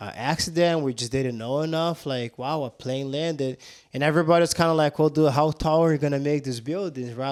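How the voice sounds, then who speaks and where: In a Portuguese accent, a man with a fairly high pitch speaks at a fairly quick pace with ordinary pitch variation and hardly any pauses. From southern Brazil. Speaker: jiu-jitsu instructor. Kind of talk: casual chat. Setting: on-location podcast at his gym.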